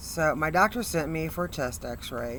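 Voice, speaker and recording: With audible room echo around her, the woman talks at a moderate pace. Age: 60s. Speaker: motivational speaker, cancer patient. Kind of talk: testimony.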